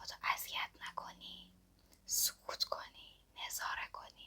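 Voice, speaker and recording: At a very slow pace, a woman whispers. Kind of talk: ASMR whisper talk to camera. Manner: soft-spoken, whispering.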